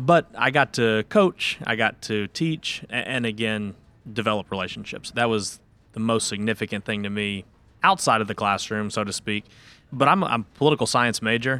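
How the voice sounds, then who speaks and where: The voice has a bright, sharp tone and ordinary pitch variation at a moderate pace. The sound is dry and close, with no echo. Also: man, medium pitch for a man. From Kentucky, Louisville. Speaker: law student. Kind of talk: casual interview.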